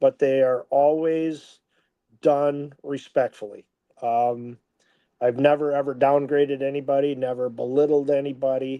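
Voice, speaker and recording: A man speaks at a fairly slow pace with a fairly high pitch. His intonation is monotone and flat. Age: 60s. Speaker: football head coach. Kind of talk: casual interview. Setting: live stream. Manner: hesitant, many fillers.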